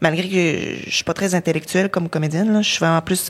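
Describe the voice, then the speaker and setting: A woman's voice with fairly even intonation. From Quebec, Lac-Saint-Jean. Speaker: actress. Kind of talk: casual chat.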